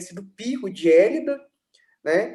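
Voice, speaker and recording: His tone is dark and mellow. The man's intonation is lively. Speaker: philosophy scholar. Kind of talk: interview, explaining philosophy.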